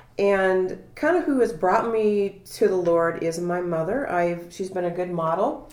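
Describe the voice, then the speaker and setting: The woman talks at a fairly slow pace. Her pitch is medium, with ordinary variation. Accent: Midwestern US. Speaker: public health worker. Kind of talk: testimony. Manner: halting.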